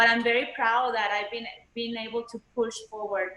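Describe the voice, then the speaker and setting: In a Spanish accent, a woman speaks at a moderate pace with a fairly high pitch and monotone, flat intonation, and audible room echo surrounds her. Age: 30s. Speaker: panelist. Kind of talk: panel discussion. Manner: halting.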